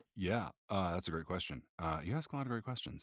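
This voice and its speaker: Very deep and low, this man's voice carries an American accent and lively intonation. The recording is very clean, with a silent background. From US Pacific Northwest, Seattle. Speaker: voice actor. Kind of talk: interview.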